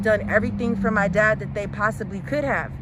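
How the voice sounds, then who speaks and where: A woman with an American accent talks at a fairly quick pace amid audible room echo. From US West Coast, San Francisco Bay Area. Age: 30s. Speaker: daughter of cancer patient. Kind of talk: testimony.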